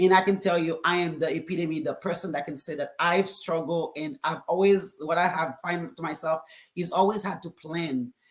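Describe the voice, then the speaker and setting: Speaking at a fairly low pitch, a woman has a strong Caribbean accent. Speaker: co-author of a book. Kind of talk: live stream panel talk. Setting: live video stream. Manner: hesitant, many fillers.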